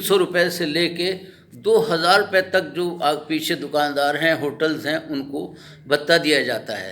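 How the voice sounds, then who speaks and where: A man is speaking in a high voice. His pitch varies in an ordinary way. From Pakistan, Lahore. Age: 70s. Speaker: local citizen interviewee. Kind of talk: street interview complaint. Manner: impassioned.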